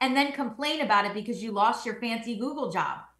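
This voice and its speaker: In a room with audible echo and a quiet background, a woman with an American accent speaks at a high pitch with ordinary pitch variation. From New Jersey. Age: young. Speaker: attorney and legal analyst; guest. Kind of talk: panel discussion. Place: home room. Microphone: video call.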